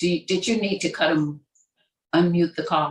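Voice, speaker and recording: A woman speaks at a fairly low pitch with ordinary pitch variation, her voice somewhat breathy. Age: 60s. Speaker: nutritionist. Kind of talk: casual talk on a group call.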